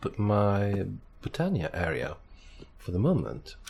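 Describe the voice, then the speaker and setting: Somewhat breathy, the man's voice sits at a fairly low pitch. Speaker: gaming youtuber. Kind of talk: gameplay commentary. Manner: hesitant, many fillers.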